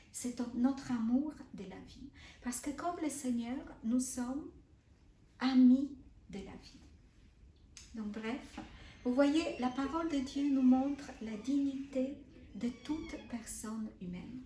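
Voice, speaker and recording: In a Polish accent, a woman with a high pitch and a dark, mellow tone speaks at a very slow pace with long, frequent pauses, big swings in loudness and ordinary pitch variation. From Poland. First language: Polish (speaking French). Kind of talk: spiritual teaching. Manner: halting, repeats words.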